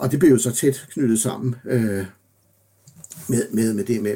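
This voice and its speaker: At a fairly slow pace, a man talks in a medium-pitched voice with a dark, mellow tone and vocal fry. His pitch varies in an ordinary way. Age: 60s. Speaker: professor. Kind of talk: interview. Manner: halting.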